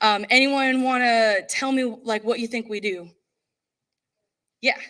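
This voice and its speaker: A woman speaks in an American accent at a fairly high pitch with ordinary pitch variation. The recording is very clean, with a silent background. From North Carolina. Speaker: corporate recruiter. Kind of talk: conference presentation. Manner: loud; animated.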